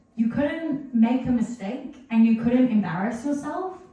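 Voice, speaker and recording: Here a woman speaks with an American accent. She talks at a fairly slow pace. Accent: New Zealand accent, slipping toward American. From New Zealand. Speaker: musician and author. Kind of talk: casual talk at a book launch. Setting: bookshop event with live audience. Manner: casual, many fillers.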